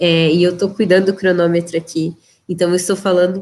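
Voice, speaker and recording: A woman with an unremarkable speaking voice talks at medium pitch and a fairly quick pace. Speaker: leadership trainer. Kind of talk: live webinar lecture. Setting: livestream.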